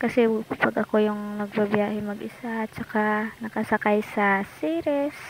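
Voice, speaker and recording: Over noticeable background noise, a soft-spoken woman with a fairly high pitch speaks at a moderate pace and with ordinary pitch variation. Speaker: travel vlogger. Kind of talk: casual travel vlog narration. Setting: in a car.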